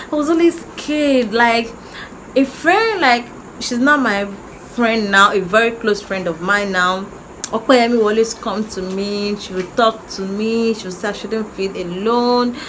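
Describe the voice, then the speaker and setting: A woman with a Nigerian accent speaks at a fairly slow pace, her pitch fairly high with ordinary variation. Her loudness swings widely, and there is noticeable background noise. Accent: Nigerian (Yoruba) English. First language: Yoruba. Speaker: YouTuber. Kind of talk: personal story time. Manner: halting.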